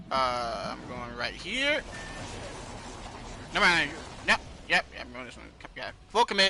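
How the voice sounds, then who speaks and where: A man talks at a fairly slow pace with long, frequent pauses and big swings in loudness. Noticeable background noise runs underneath. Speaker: podcast host and gamer. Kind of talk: casual chat while gaming.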